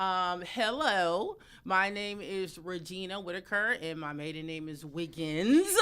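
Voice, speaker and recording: A woman with an American accent speaks at a fairly slow pace, her pitch medium with ordinary variation. Her loudness swings widely. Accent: US Northeast accent, noticeable to Texans. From Connecticut, US East Coast (Bridgeport). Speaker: podcast host. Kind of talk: casual chat.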